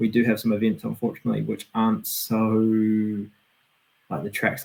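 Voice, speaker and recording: A man with a New Zealand accent talks at a moderate pace. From New Zealand, Auckland. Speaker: BMX racer. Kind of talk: casual interview.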